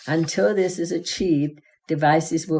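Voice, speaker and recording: A woman speaks at a moderate pace with a very deep, low pitch and a dark, mellow tone. The recording is very clean, with a silent background. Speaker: patient advocate giving testimony. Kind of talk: prepared testimony.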